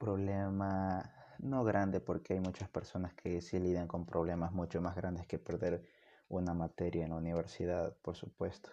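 Against a quiet background, a man with a very deep, low pitch talks at a fairly slow pace in a dark, mellow tone. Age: 20s. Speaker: university student and amateur podcaster. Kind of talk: solo monologue podcast.

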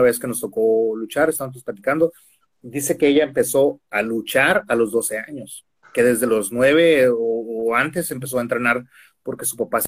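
A man speaks in an unremarkable speaking voice at medium pitch. His pace is moderate and his intonation fairly even. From Mexico, Tijuana. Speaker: professional wrestler. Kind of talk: casual interview. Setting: video call.

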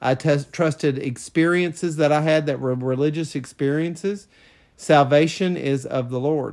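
With an ordinary speaking voice, a man talks at a fairly high pitch and a moderate pace, with ordinary pitch variation, on a very clean recording with a silent background. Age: 50s. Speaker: former pastor, podcast co-host. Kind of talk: casual chat.

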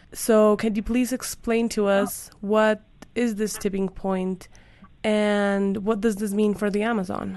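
A woman with a Spanish accent at medium pitch, monotone and flat in intonation, at a fairly slow pace. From Colombia. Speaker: podcast host. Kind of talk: interview.

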